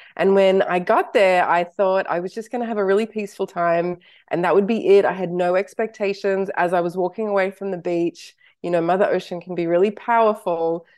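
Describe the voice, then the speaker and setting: A woman with an Australian accent talks at a fairly quick pace. Her medium-pitched voice keeps a fairly even intonation. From Australia (Sydney), early childhood in Canada and US. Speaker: author and wellbeing teacher. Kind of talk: interview. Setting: remote call.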